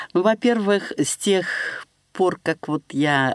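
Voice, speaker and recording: A woman's lively intonation in a dry, close recording with no echo. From Russia, Serpukhov (Moscow region). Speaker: blind poet. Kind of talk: interview. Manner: halting.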